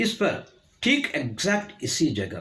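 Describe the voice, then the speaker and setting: A man talks with very wide pitch swings. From India, born in Karnataka, educated in North India. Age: 70s. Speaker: traditional knowledge teacher, Sanskrit scholar. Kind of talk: educational talk to camera.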